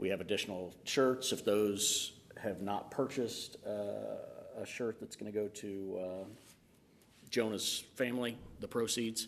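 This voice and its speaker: Fairly slow speech in a man's fairly low voice, carrying audible room echo. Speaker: city council member. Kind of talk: council meeting remarks. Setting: council chamber meeting. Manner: halting.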